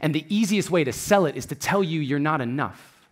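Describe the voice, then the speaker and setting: A man talks with lively intonation. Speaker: spoken word artist and motivational speaker. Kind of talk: spoken word poetry performance.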